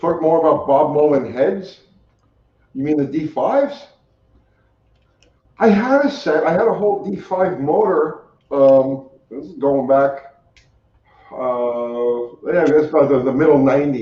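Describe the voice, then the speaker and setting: A man with a New York accent, fairly high-pitched for a man, at a fairly slow pace with long, frequent pauses, ordinary pitch variation and audible room echo. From New York City, Staten Island. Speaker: car mechanic and YouTuber. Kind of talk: casual interview chat. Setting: live stream.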